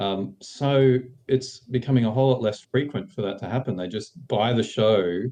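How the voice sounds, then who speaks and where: An Australian accent colors this man's dark, mellow tone at medium pitch. He keeps a moderate pace with ordinary pitch variation. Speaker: screenwriter. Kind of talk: interview.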